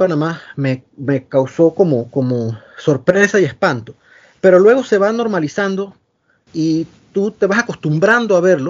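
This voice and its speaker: High male voice with very wide swings in pitch. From Panama, Los Santos province. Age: 40s. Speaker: engineer and writer. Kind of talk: interview.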